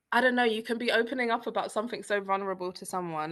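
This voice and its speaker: Her British accent and bright, sharp tone stand out as a woman speaks with ordinary pitch variation over a quiet background. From East London, England. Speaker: freelance copywriter and traveler. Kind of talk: casual interview chat. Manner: animated.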